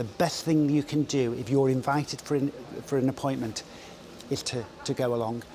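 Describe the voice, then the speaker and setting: This man talks at a moderate pace with fairly even intonation. His pitch sits at a medium level. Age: 60s. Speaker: public health director. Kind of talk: interview.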